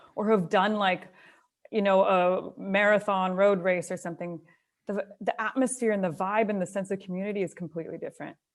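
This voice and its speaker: On a very clean recording with a silent background, a woman with a Canadian accent uses a plain, everyday voice at medium pitch, with ordinary pitch variation and a fairly quick pace. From Canada, Alberta (near Calgary). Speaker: trail runner. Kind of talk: casual interview chat.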